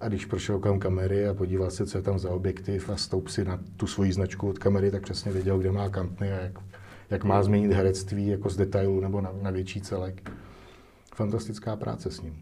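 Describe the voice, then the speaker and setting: Moving at a fairly quick pace, a man with a very deep, low pitch and dark, mellow tone speaks in a somewhat breathy, monotone, flat delivery amid audible room echo. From Czech Republic, Most. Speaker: film director and cinematographer. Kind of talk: interview. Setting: studio.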